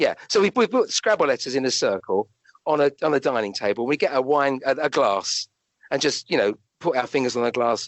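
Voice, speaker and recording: A man with a southern English accent talks fairly quickly in a fairly high voice with lively intonation. His loudness stays very even. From London, England. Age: 60s. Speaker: doctor and medium. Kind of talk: interview. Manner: halting.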